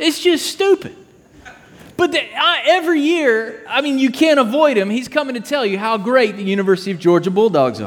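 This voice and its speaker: With audible room echo and noticeable background noise, a man speaks at a moderate pace in an extremely high voice that swings very widely in pitch. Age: 30s. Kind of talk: sermon.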